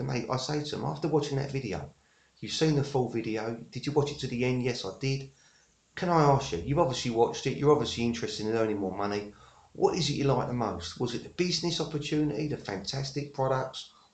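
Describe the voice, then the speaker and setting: In an English accent with vocal fry, the speaker talks very fast with ordinary pitch variation, and room echo is audible. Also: man, medium pitch for a man. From England. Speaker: network marketer. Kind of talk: tutorial. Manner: halting, many fillers.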